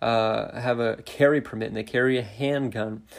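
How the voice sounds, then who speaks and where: Fairly slow, flat, monotone delivery from a man with a medium pitch and an American accent. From Montana. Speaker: youth pastor, podcast host. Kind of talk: devotional podcast, bible teaching. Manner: hesitant, many fillers.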